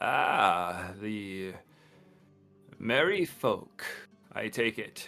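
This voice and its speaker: Faint music plays in the background as a man in a put-on character voice speaks very slowly at a fairly low pitch, with long, frequent pauses. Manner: gruff, fantasy role-play.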